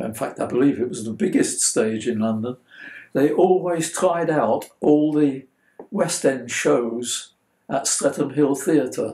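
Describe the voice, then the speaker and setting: The speaker talks at a fairly slow pace with a dark, mellow tone, vocal fry and ordinary pitch variation. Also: man. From Belgium (Brussels), English mother. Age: 80s+. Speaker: interviewee sharing childhood memories. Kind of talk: interview answer.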